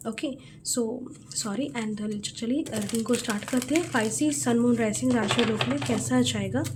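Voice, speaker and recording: Amid noticeable background noise and audible room echo, a woman talks fairly slowly. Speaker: tarot card reader. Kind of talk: tarot reading. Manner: halting.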